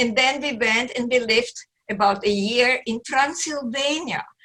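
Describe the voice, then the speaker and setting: In a bright, sharp tone, a woman speaks with ordinary pitch variation. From Romania. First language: German. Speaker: psychologist and motivational speaker. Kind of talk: interview testimony. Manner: animated.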